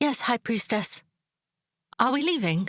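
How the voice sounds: In a put-on character voice, a woman speaks at a fairly high pitch with big pitch swings and a fairly bright tone, dry and close with no echo on a very clean recording with a silent background. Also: fairly slow pace.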